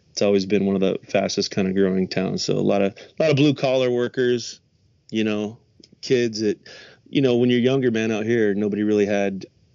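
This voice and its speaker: A man with a General American accent has an ordinary speaking voice. He talks at a fairly quick pace with a fairly low pitch and fairly even intonation. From US West, Las Vegas. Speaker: rock singer and musician. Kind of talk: casual interview chat.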